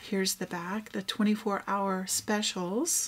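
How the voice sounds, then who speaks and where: A somewhat breathy woman's voice of medium pitch at a very slow pace. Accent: American. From Texas. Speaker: craft vlogger. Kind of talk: casual show-and-tell. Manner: animated.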